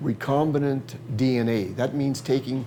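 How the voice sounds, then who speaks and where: There is noticeable background noise behind the speaker. He is a man with a medium pitch. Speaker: plant scientist. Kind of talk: interview answer. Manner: hesitant, repeats words.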